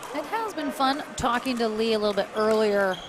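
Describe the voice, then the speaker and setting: An animated, fairly high-pitched woman at a fairly quick pace, with ordinary pitch variation and noticeable background noise. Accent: American. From United States. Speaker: sports commentator. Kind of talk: live commentary.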